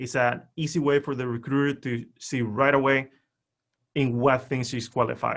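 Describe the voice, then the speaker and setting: A man with a Spanish accent, medium pitch, a moderate pace and monotone, flat intonation. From Spain. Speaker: LinkedIn profile expert. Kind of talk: webinar presentation.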